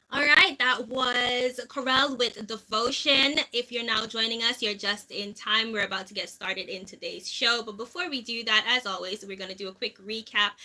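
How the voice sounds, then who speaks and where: Loud and fairly high-pitched, a woman talks at a moderate pace with hardly any pauses over noticeable background noise. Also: ordinary pitch variation. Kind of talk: radio show talk. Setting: studio. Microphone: issues with sound in the studio.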